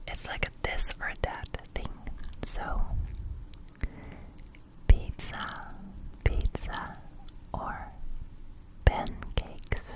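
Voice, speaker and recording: A soft-spoken, breathy woman whispering at a very slow pace, with long, frequent pauses and loud background noise. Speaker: ASMR creator. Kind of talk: soft ASMR chat, asking questions. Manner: breathy soft whisper close to mic. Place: home room. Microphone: studio mic.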